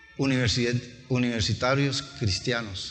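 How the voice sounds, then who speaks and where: A man at a fairly slow pace and fairly even intonation, with audible room echo and music in the background. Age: 60s. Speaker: pastor. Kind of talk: sermon. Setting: church.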